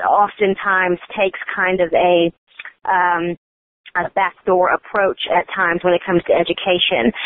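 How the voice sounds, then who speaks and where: A woman with an American accent speaks at a medium pitch and a moderate pace. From Oklahoma. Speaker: online political media co-founder. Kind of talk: casual interview.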